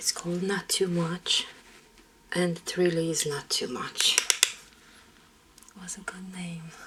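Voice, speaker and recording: A woman speaks in a calm tone with a fairly low pitch and monotone, flat intonation. Her fairly slow speech has long, frequent pauses over noticeable background noise. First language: Romanian. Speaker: makeup artist. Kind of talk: casual chat. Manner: relaxing, calm.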